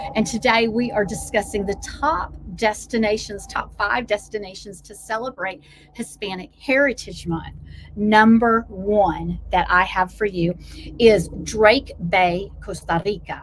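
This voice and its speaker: Over noticeable background noise, the voice sounds animated, moving at a fairly slow pace with ordinary pitch variation. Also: woman, medium pitch for a woman. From US South, Blue Ridge foothills. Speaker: travel vlogger and coach. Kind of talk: casual vlog monologue.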